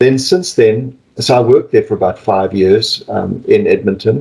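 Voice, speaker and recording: Somewhat breathy and dark, mellow in tone, a man with a South African accent speaks at a moderate pace with ordinary pitch variation. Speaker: palliative care physician and professor. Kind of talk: interview.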